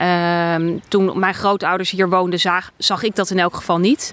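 A woman speaks in an unremarkable speaking voice at medium pitch. Her pace is moderate. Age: 40s. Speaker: funeral guidance entrepreneur, next generation. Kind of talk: casual interview.

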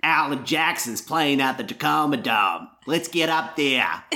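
A raspy put-on character voice at a moderate pace. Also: man, fairly high pitch for a man. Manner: excited.

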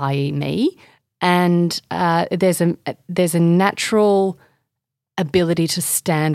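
On a very clean recording with a silent background and a dry, close sound with no echo, a woman with an Australian accent speaks at a fairly low pitch with ordinary pitch variation. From Indonesia and Australia. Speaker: author and sustainability advocate. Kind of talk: interview conversation.

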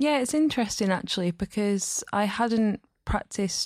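Recorded with a dry, close sound and no echo, a woman talks at a moderate pace with a Lancashire accent. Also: very clean recording, silent background. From northern England, Burnley. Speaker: poet. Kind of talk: poetry reading and interview.

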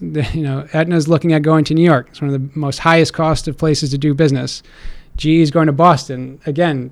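A man with an American accent speaks quickly enough, at a fairly quick pace, in a fairly high pitch. He has a plain, everyday voice with fairly even intonation. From Connecticut, Stamford. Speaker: mayoral candidate and real estate investor. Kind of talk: interview.

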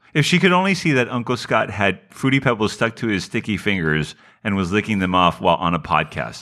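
Over a silent background in a very clean recording, a man talks at a fairly quick pace with a fairly low pitch, very wide pitch swings, and a bright, sharp tone. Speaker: podcast co-host. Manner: casual, joking.

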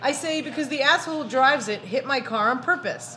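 A woman with a Brooklyn accent speaks fairly quickly over noticeable background noise. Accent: Brooklyn New York. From Brooklyn, New York. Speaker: podcast host. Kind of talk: casual chat.

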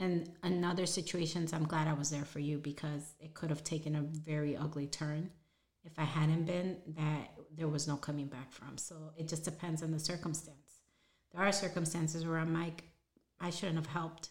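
A woman's somewhat breathy voice, very deep and low in pitch, at a fairly quick pace with monotone, flat intonation. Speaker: podcast co-host, mother of the other host. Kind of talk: casual chat.

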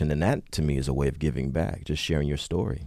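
A man with an American accent, very fast pace and vocal fry, dark, mellow tone, very clean recording with a silent background. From Jersey City, New Jersey. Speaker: author and activist. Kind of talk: radio panel discussion.

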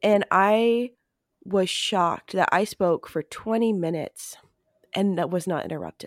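Woman with an ordinary speaking voice, medium pitch, ordinary pitch variation and a fairly slow pace, in a dry, close sound with no echo on a very clean recording with a silent background. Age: 30s. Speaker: podcast host and occult practitioner. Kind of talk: interview conversation.

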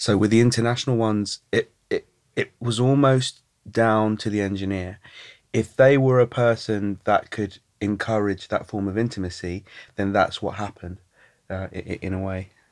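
This man has a normal speaking voice, fairly low in pitch, with fairly even intonation at a moderate pace. The recording is very clean against a silent background. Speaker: participatory artist and dialogue director. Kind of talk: casual chat.

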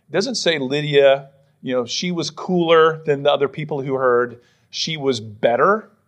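An unremarkable speaking voice with an American accent and ordinary pitch variation. The background is quiet. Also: man. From western Pennsylvania. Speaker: pastor. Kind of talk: sermon. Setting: church.

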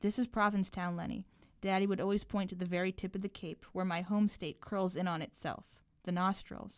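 A woman talks at a fairly quick pace and medium pitch with an American accent and fairly even intonation, in an unremarkable speaking voice. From Massachusetts (Belmont, Boston area). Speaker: writer and filmmaker. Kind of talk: reading aloud. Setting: studio.

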